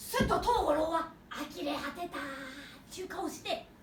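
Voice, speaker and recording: Delivered at a moderate pace, the speech has clear background noise and a slight echo. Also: woman, extremely high pitch for a woman, ordinary pitch variation. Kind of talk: old folk tale telling. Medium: stage play.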